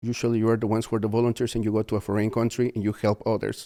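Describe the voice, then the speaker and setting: A man speaks with a Spanish accent in a medium-pitched, dark, mellow tone. The recording is very clean, with a silent background. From Peru. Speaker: mission trip volunteer leader. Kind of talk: podcast interview. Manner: halting.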